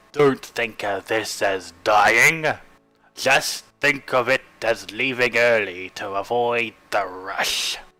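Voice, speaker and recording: A man puts on a raspy character voice at a medium pitch, with ordinary pitch variation. He goes at a very slow pace while music plays in the background. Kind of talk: slow measured pronouncement. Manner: solemn, intoning.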